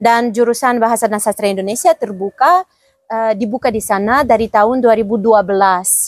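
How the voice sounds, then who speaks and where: Speaking at a fairly quick pace, a woman has a fairly high pitch. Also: ordinary pitch variation, dry, close sound with no echo. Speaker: diplomat. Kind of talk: podcast interview. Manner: halting.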